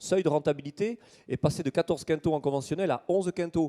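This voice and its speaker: With a southern French accent, a man speaks fairly quickly in a dark, mellow tone, the sound dry and close with no echo. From southern France, Toulouse. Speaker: agronomy researcher. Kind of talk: conference talk. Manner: hesitant with frequent fillers.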